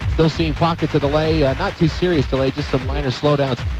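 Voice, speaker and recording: Noticeable noise sits behind the voice, which moves along fairly quickly. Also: man. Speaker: traffic reporter in helicopter. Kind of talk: radio traffic report.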